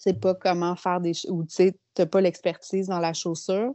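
A woman in a Quebec accent, fairly low in pitch, at a fairly slow pace with fairly even intonation. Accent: Québécois French. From Quebec City, Quebec. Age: 30s. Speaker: shoe designer and entrepreneur. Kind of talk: interview.

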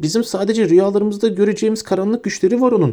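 In a put-on character voice, a man speaks at a very fast pace, shrill and high-pitched, with fairly even intonation.

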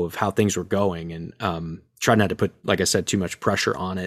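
A man talks in a fairly low voice at a moderate pace. The recording is very clean, with a silent background. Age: 30s. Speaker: franchise owner and actor. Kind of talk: interview.

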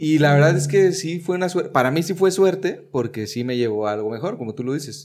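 At a very fast pace and with hardly any pauses, a man speaks in a fairly high pitch. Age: 30s. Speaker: aspiring comedian, podcast host. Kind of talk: casual chat.

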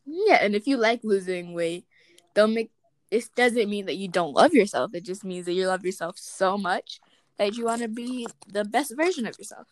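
At a moderate pace, a woman with a normal speaking voice and medium pitch uses lively intonation and big swings in loudness. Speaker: podcast co-host. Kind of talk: casual chat.

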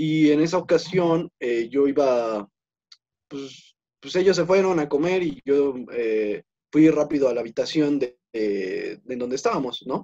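A man with a Mexican accent speaks at a fairly slow pace. His fairly high voice has a dark, mellow tone. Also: lively intonation. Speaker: podcast co-host. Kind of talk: casual chat.

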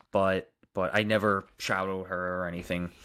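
Recorded very cleanly with a silent background, a man with a Long Island accent speaks at a fairly low pitch. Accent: Long Island New York. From Long Island, New York. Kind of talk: casual live chat answering viewers.

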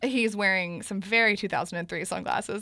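Talking at a very fast pace over noticeable background noise, a woman uses an animated tone at a medium pitch. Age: 20s. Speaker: podcast host. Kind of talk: casual chat.

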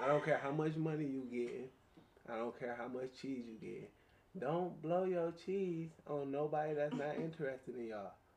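In a plain, everyday voice, the speaker moves at a moderate pace with ordinary pitch variation. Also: man, fairly high pitch for a man. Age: 20s. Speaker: podcast guest. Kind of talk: casual chat.

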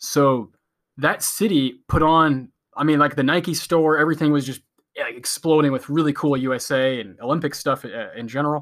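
In an American accent, a man speaks at a moderate pace with ordinary pitch variation and an unremarkable speaking voice. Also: fairly high pitch for a man. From US. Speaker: podcast co-host. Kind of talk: casual podcast discussion.

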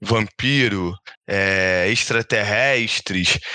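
A man speaks very slowly. His tone is bright and sharp. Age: 20s. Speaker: podcast co-host. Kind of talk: casual chat. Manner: loud.

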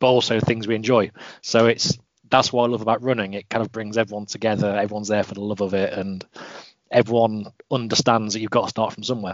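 Speaking with an English accent, a man uses a fairly low pitch and a monotone, flat intonation. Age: 20s. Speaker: mental health advocate and runner. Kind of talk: interview.

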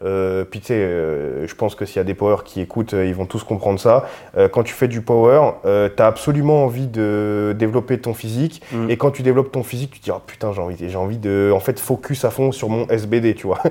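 A man with a dark, mellow tone and medium pitch talks with ordinary pitch variation and hardly any pauses on a very clean recording with a silent background. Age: 20s. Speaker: powerlifter. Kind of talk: casual chat.

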